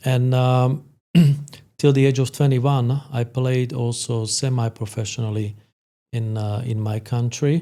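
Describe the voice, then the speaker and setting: A dark, mellow tone with a Slovak accent, fairly slow in pace and fairly even in intonation. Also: man, medium pitch for a man. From Slovakia. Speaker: sport psychologist. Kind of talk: podcast interview. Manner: halting, many fillers.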